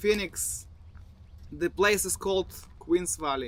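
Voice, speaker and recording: This man talks at a moderate pace in a Bulgarian accent. His pitch sits high. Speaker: falconer, army veteran. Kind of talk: personal story. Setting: outdoors in the desert.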